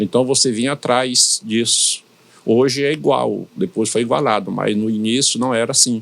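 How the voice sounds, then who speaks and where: A man's medium-pitched voice with a slight northeastern Brazilian accent, ordinary pitch variation and a moderate pace. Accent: slight northeastern Brazilian accent, kept. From Brazilian Northeast, São Luís, Maranhão. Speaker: pastor. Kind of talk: interview. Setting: studio podcast.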